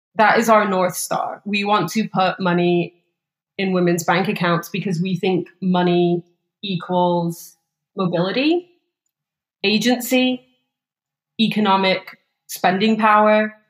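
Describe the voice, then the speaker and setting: With an English accent, a woman speaks at a fairly slow pace and a medium pitch, her intonation fairly even and broken by long, frequent pauses. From England, small town. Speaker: startup co-CEO. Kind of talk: interview.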